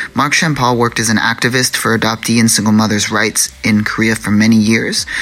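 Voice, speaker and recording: The speaker is a man. Noticeable background noise can be heard. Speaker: podcast co-host. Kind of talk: podcast intro and outro.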